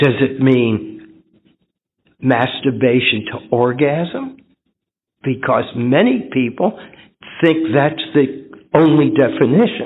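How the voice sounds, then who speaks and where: A man at a medium pitch, speaking at a very slow pace with long, frequent pauses. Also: ordinary pitch variation. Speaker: twelve-step recovery meeting speaker. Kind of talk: recovery meeting talk sharing personal testimony. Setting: convention meeting room with audience and microphone.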